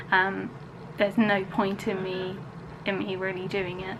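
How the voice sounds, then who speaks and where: A woman speaks at a medium pitch. Audible room echo and noticeable background noise fill the recording. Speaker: vlogger. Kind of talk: casual vlog talk to camera. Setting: at home. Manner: soft-spoken.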